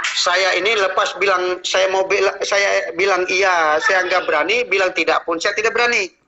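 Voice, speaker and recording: A man's high voice at a moderate pace, with hardly any pauses, very even loudness, fairly even intonation, and noticeable background noise. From Central Kalimantan, Indonesia. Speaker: traditional healer. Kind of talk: interview.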